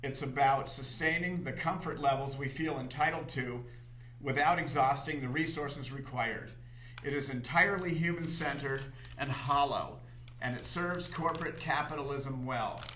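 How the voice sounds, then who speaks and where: Light background noise sits behind the voice. The man keeps a moderate pace. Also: fairly even intonation. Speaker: TV show host or guest. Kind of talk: reading an essay aloud on a talk show. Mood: critical, earnest. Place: studio. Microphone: studio mic.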